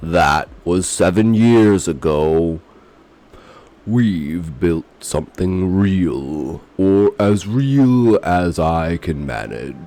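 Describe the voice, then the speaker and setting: A man's very deep, low voice at a very slow pace. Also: lively intonation. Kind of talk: horror narration. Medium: read story. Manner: somber, brooding.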